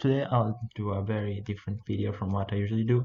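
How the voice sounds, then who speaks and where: The speaker has a non-native accent, a somewhat breathy sound, and flat, monotone intonation. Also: man. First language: not English. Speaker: game level designer, video creator. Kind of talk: tutorial with live coding commentary. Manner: halting, hesitant; flat, low energy.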